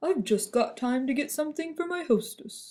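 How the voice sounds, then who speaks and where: A put-on character voice performs here. The pitch is high. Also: moderate pace. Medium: read story. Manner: cheerful, earnest.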